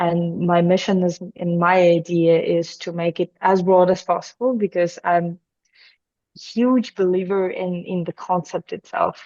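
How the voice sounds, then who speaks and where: A woman with a fairly low pitch and a dark, mellow tone speaks at a fairly slow pace in a dry, close sound with no echo. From Belarus. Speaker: crypto mining entrepreneur. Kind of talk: podcast interview.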